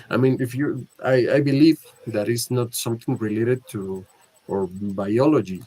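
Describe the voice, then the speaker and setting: Here a man speaks with a Spanish accent. He goes at a fairly slow pace with ordinary pitch variation. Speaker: film discussion club host. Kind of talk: casual film discussion. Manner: halting, many hesitations.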